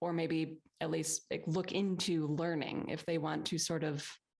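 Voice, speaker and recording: A woman is speaking. Vocal fry runs through her voice. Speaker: podcast host. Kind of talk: interview question.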